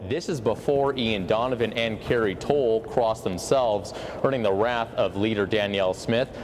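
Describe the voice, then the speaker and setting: A man talks at a moderate pace with ordinary pitch variation while music plays in the background. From Canada. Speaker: news reporter. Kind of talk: live TV news reporting and reporter packages. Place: hall.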